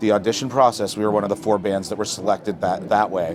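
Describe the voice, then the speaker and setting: Very fast speech from a man with a Canadian accent over noticeable background noise. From Hamilton, Ontario, Canada. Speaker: singer-songwriter. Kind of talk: interview. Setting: festival tent. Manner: casual, relaxed.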